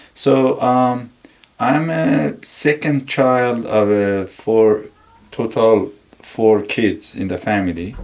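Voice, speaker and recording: Speaking very slowly, a man with a medium pitch and ordinary pitch variation is heard over noticeable background noise. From Iran, Isfahan province countryside. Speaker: engineering director. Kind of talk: interview.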